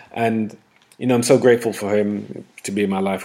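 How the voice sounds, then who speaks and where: Speaking at a fairly quick pace, a man with a London accent keeps his intonation fairly even. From northwest London. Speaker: podcast host and coach. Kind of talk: casual interview. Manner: frequent fillers.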